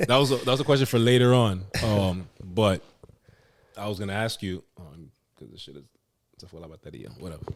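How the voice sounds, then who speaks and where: A man with an American accent at a fairly low pitch and fairly quick pace, lively in intonation, with long, frequent pauses. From US, Dominican family. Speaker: podcast host, interviewer. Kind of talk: casual interview chat.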